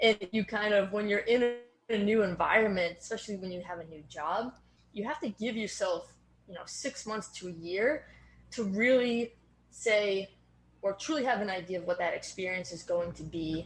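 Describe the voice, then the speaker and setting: Somewhat breathy woman's voice with an American accent, medium pitch, ordinary pitch variation, a moderate pace and big swings in loudness. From Boston area, US. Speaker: strength and fitness coach. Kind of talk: podcast interview.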